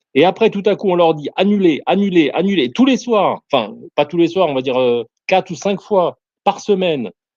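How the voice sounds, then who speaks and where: With a non-native accent, a man speaks at a moderate pace in a high voice, his intonation lively. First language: not French (speaking French). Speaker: soldier. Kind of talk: casual chat. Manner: halting, many hesitations.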